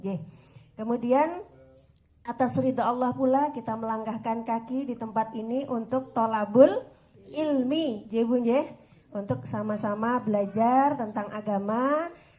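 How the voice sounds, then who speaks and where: In a room with audible echo, a woman speaks fairly slowly at a fairly high pitch, her tone dark and mellow and her pitch variation ordinary. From West Java (Sundanese). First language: Sundanese (speaking Indonesian). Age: 40s. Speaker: female Islamic preacher and religious counselor. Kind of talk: religious study talk to women's group. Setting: pendopo hall with audience. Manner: conversational, informal.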